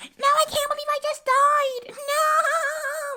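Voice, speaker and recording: In a put-on character voice, the speaker goes very slowly, shrill and at an extremely high pitch. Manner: annoying, over-the-top distress.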